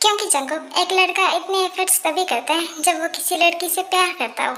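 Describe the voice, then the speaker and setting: Using a put-on character voice at an extremely high pitch, a woman speaks at a moderate pace with fairly even intonation. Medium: read story. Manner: playful, teasing.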